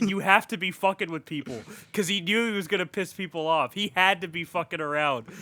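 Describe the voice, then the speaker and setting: A man talks very fast in a high voice with ordinary pitch variation. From Mexican heritage. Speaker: podcast host. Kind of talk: casual chat. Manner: animated.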